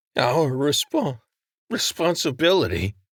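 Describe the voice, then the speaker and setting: In a raspy, put-on character voice, a man speaks at a fairly slow pace with a fairly high pitch and very wide pitch swings, recorded dry and close with no echo on a very clean track with a silent background. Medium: read story. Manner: earnest, honest.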